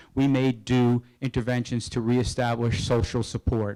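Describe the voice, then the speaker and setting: A man with an American accent speaks at a medium pitch in a dark, mellow tone, with a dry, close sound and no echo. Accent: New Jersey, noticeable when talking fast. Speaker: psychologist presenter. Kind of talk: lecture.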